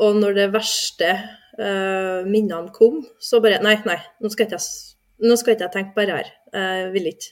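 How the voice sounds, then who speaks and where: A woman speaks at a fairly slow pace, her pitch medium and her intonation fairly even. Her loudness swings widely. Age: 30s. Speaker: veterinary nurse, course participant. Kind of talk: personal testimony in interview. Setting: studio. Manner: halting, many fillers.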